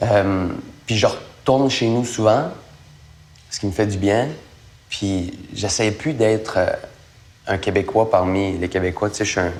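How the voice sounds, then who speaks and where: At a fairly slow pace and with long, frequent pauses, a man speaks in a fairly low voice with ordinary pitch variation. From Acadia, northern New Brunswick (McKendrick). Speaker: actor. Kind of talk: interview. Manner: casual, hesitant with fillers.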